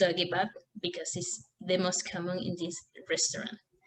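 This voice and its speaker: Speaking at a moderate pace with a Spanish accent, a woman keeps her medium-pitched voice monotone and flat. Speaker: language student. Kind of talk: class presentation. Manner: halting.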